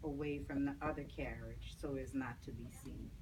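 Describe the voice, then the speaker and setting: A woman at a moderate pace, with audible room echo. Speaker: author. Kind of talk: reading aloud. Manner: monotone.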